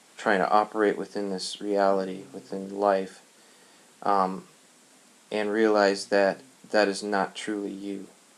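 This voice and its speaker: A man speaks at a fairly slow pace with long, frequent pauses. His fairly low voice stays monotone and flat. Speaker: religious video lecturer. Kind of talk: monologue lecture. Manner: slow, many pauses; halting, thinking aloud.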